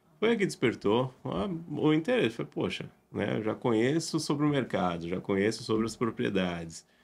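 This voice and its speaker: A man's medium-pitched voice at a moderate pace, with very wide pitch swings and hardly any pauses. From Brazil. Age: 30s. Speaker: real estate agent. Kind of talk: podcast interview. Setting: podcast recording.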